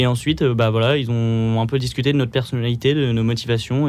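This is a man with an ordinary speaking voice at a medium pitch. His intonation stays fairly even. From Pas-de-Calais, northern France. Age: 20s. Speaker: engineering student volunteer. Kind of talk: radio interview. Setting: studio.

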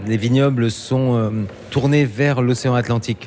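A man's medium-pitched voice at a fairly slow pace with fairly even intonation, against noticeable background noise. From eastern France near German border. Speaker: travel radio host. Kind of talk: interview; scripted narration.

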